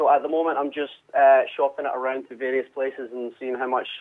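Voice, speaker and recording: A man with a Scottish accent. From Scotland, Glasgow. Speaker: musician. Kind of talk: radio interview. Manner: halting, many repetitions and fillers.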